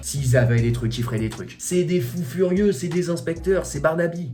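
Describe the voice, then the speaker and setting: Over noticeable background noise, a man talks fairly quickly with ordinary pitch variation. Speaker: YouTuber vlogger. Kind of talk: casual vlog chat. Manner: animated.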